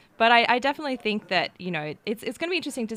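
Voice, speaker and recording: A woman speaks with an Australian accent. Her pitch variation is ordinary. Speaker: tech journalist. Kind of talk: live event commentary panel chat.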